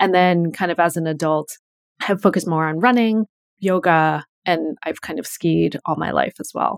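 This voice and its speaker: A woman with an American accent and a plain, everyday voice talks at a moderate pace, her pitch fairly low with ordinary variation. The recording is very clean, dry and close, with a silent background and no echo. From US Northeast, Connecticut. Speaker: journalist. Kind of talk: interview.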